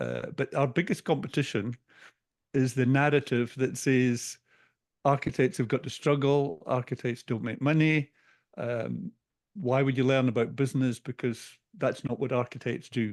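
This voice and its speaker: A man with a Scottish accent speaks at a medium pitch and a moderate pace, with ordinary pitch variation, in a dry, close sound with no echo. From Scotland. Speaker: business coach. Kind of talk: interview.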